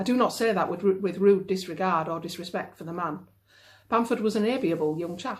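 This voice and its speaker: With a Yorkshire accent, a woman talks at a fairly quick pace using lively intonation. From Yorkshire, northern England. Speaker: novelist. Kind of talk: reading aloud. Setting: at home.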